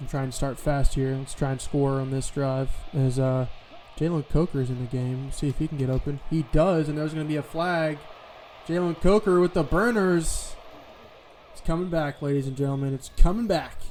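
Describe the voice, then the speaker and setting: Over music in the background, a man speaks at a fairly high pitch. His pace is moderate and his pitch variation ordinary. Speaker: gaming video creator. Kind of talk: gameplay commentary. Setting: at home.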